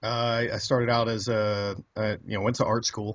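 A man's somewhat breathy voice in a fairly low pitch. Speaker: interview guest. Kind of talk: interview answer. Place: home room. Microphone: studio mic.

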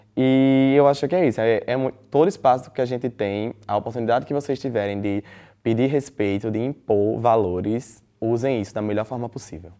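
A man's dark, mellow tone at a moderate pace against a quiet background. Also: ordinary pitch variation. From Brazil, interior of Rio Grande do Norte (Caicó); Rio Grande do Norte, Brazil. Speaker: student, DJ and influencer; interviewee. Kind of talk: interview. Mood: calm, reflective, assertive. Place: studio. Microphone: lapel.

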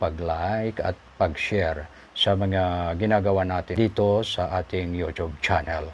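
A man's voice with ordinary pitch variation. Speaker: YouTube commentary vlogger. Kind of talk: news commentary monologue. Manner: halting, many filler sounds.

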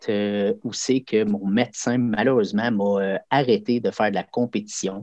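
Dry and close with no echo, this dark, mellow voice in a Quebec accent plays over a quiet background. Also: man. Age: 40s. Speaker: karate instructor. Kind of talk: casual interview.

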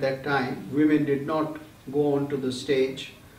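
Audible room echo follows the man as he talks. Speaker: lecturer on Greek theatre. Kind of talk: lecture. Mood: calm, warm, explanatory. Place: home room. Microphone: webcam.

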